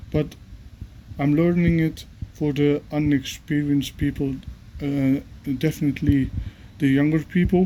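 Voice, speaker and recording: With noticeable background noise behind him, a man speaks at a moderate pace in a fairly high pitch with fairly even intonation. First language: not English. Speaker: gardener. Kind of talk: tutorial. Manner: halting.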